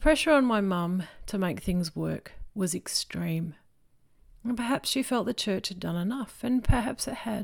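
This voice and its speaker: In an Australian accent, a woman speaks at a moderate pace with a medium pitch, lively intonation and a somewhat breathy voice, on a very clean recording with a silent background. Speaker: preacher. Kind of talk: sermon.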